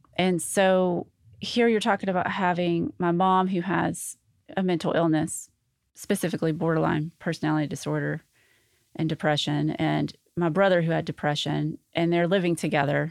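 Recorded very cleanly against a silent background, the speaker talks at a moderate pace with fairly even intonation in an Arkansas accent. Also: woman, fairly low pitch for a woman. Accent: Southern US (Arkansas). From US South, Arkansas (North Little Rock). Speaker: gold star family member. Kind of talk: interview testimony.

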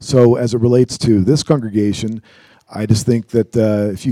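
Dry and close with no echo, a man's dark, mellow tone and fairly low pitch come through at a moderate pace. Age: 50s. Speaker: church elder. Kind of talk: church interview on prayer.

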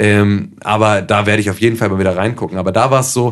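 This is a man with an ordinary speaking voice, fairly low in pitch, talking at a fairly quick pace with fairly even intonation. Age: 20s. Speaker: podcast host. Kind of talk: casual chat.

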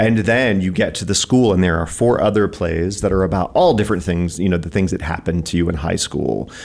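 A man's very deep, low voice at a fairly quick pace with hardly any pauses, over noticeable background noise. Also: ordinary pitch variation. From East Tennessee. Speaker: theater artistic director. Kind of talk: radio interview. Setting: radio studio.

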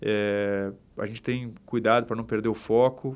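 The man's medium-pitched voice has a monotone, flat intonation. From southern Brazil, Porto Alegre. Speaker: real estate company director. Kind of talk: podcast interview. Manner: halting, many repetitions.

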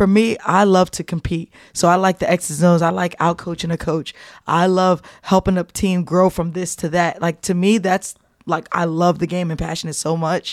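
Someone with an American accent talks at a moderate pace in a flat monotone. The recording is very clean with a silent background, and the sound is dry and close with no echo. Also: woman, fairly low pitch for a woman. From New Jersey. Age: 40s. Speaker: college basketball coach. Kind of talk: casual interview.

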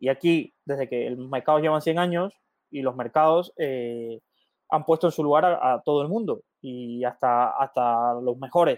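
The man's pitch shows ordinary variation. He delivers his words fairly slowly. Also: fairly high pitch for a man. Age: 20s. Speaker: finance podcast host. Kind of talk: live Q&A stream. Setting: live stream. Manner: halting, many fillers and repetitions.

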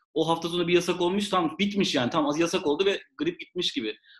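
This man's voice sits fairly high. He talks very fast. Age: 30s. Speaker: podcast co-host. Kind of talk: casual chat.

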